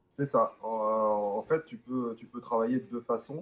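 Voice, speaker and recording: Male speech at a medium pitch, with normal rises and falls. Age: 40s. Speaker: e-liquid flavourist. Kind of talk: interview. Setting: online call via Discord.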